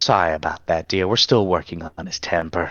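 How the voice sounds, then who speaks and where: A man's put-on character voice, very deep and low, with fairly even intonation at a fairly quick pace. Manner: sweetly apologetic.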